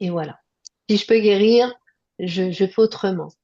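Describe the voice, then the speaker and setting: A woman is speaking. Her tone is dark and mellow. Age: 60s. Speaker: nurse. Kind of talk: interview testimony. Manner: hesitant, many fillers.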